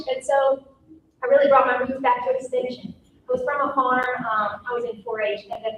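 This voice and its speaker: A woman speaks at a moderate pace in a high voice, her loudness swinging widely while her intonation stays fairly even. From rural North Carolina. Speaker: coastal extension agent. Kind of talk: panel introduction talk. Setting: conference panel with audience.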